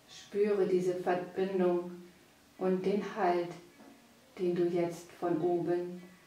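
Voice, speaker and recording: A woman speaks very slowly in a calm, gentle tone, with a fairly low pitch and monotone, flat intonation. Her long, frequent pauses sit over noticeable background noise. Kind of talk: guided meditation. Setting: studio, with background music. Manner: slow, soft and soothing, with long pauses; calm, gentle, hypnotic.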